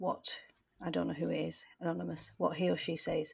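The speaker has a British accent. The recording is very clean with a silent background. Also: woman. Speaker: teacher and podcast co-host. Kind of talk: casual chat.

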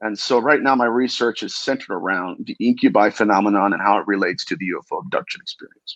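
A man speaks at a fast pace. His fairly low voice has a fairly bright tone. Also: ordinary pitch variation.

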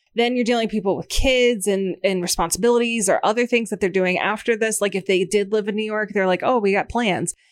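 A woman talks in an ordinary speaking voice, fairly high in pitch, with fairly even intonation. She speaks with hardly any pauses. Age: 30s. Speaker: co-host. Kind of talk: casual chat.

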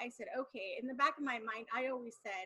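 Projected and raised, a woman's bright, sharp, high-pitched voice moves at a fairly quick pace with ordinary pitch variation. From Mexican-American family. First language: Spanish. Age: 40s. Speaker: wife in polygamous family. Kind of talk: casual interview chat.

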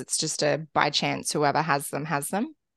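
A woman with an Australian accent and ordinary pitch variation, in a dry, close sound with no echo and a quiet background. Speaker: podcast co-host, stepmom. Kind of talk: casual chat.

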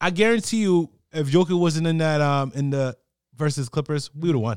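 Here is a normal speaking voice with an American accent, moving at a moderate pace with lively intonation. The recording is very clean, with a silent background and a dry, close sound with no echo. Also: man. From New Jersey. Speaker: sports podcast co-host. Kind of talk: casual sports chat.

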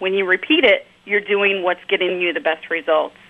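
A plain, everyday voice carries ordinary pitch variation. The pace is moderate. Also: woman. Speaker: email marketing director. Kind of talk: interview discussion.

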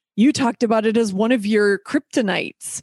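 At a moderate pace, a woman speaks against a quiet background, the sound dry and close with no echo. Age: 50s. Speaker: podcast host. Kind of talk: casual chat; scripted narration. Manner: animated.

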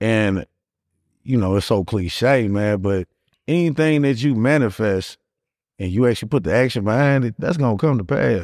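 With an American accent and a normal speaking voice, a man of medium pitch talks at a moderate pace with lively intonation on a very clean recording with a silent background. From Gary, Indiana. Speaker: barber and real estate investor. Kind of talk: casual chat.

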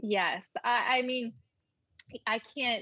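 A woman speaks in a Southern US accent with a bright, sharp tone. The sound is dry and close with no echo. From North Carolina. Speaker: lifestyle blogger and YouTuber. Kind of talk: casual interview chat.

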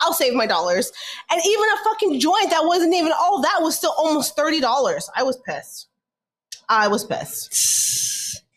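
A woman's extremely high voice with an American accent, very wide pitch swings and a moderate pace. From California. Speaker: podcast co-host. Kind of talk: casual chat.

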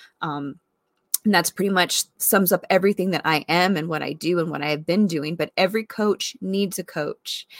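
A woman with fairly low pitch and a normal speaking voice at a moderate pace, ordinary pitch variation, a dry, close sound with no echo, and a very clean recording with a silent background. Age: 40s. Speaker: wellness podcast host. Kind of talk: casual monologue. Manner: conversational with fillers.

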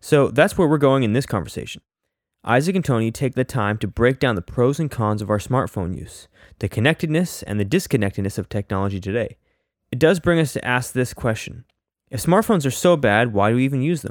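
In a plain, everyday voice, a man of medium pitch talks at a fairly quick pace on a very clean recording with a silent background. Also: lively intonation, dry, close sound with no echo. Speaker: podcast host introducing episode. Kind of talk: scripted intro and outro.

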